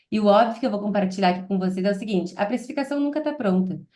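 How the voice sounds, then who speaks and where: A woman's fairly high voice in a southern Brazilian accent, with ordinary pitch variation. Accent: gaúcho Brazilian Portuguese. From southern Brazil, Porto Alegre. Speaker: product manager. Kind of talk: webinar presentation. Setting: online webinar.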